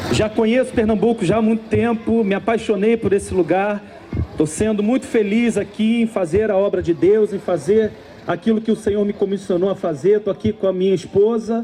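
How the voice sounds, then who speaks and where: Against noticeable background noise, a man with a high pitch speaks at a moderate pace, his intonation fairly even and his loudness very even. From Rio de Janeiro, Brazil. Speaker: preacher. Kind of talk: sermon.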